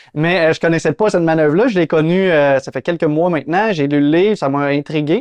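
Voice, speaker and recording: A man talks at a fairly quick pace with hardly any pauses and ordinary pitch variation. He has a Quebec accent, and the background is quiet. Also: fairly high pitch for a man. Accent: Québécois French. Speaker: real estate investor and channel host. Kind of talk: interview.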